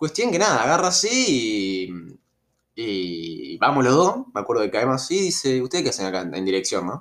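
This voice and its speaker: The speaker talks at a moderate pace in an Argentine accent, on a very clean recording with a silent background. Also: man. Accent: Rioplatense Argentine Spanish. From Argentina, Rosario (Santa Fe). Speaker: storytelling youtuber. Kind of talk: casual storytelling monologue. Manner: hesitant, many fillers.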